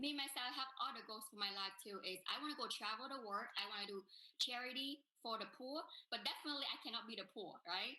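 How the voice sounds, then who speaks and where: A woman's fairly high voice with a Vietnamese accent, very fast pace, and ordinary pitch variation. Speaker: business networker. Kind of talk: testimony.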